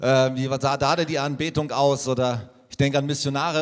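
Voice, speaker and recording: A man at a moderate pace with a fairly high pitch. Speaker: church leader. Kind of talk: interview. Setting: church.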